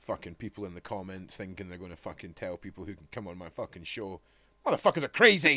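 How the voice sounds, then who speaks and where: In a Scottish accent, a man speaks very fast at a fairly low pitch with a bright, sharp tone and big swings in loudness, the sound dry and close with no echo. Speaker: live stream host. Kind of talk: casual chat. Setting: live stream video call.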